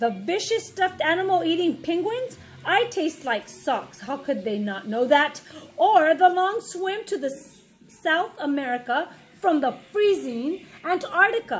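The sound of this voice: A woman's put-on character voice, extremely high with big pitch swings, at a fairly slow pace with few pauses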